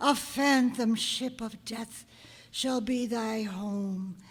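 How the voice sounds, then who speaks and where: A female-sounding voice does a put-on character voice. The pitch sits fairly high. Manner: solemn, commanding.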